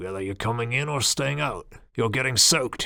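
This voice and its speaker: A raspy, put-on character voice from a man, medium in pitch and fairly quick, on a very clean recording with a silent background. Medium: read story. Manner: merry, chatty.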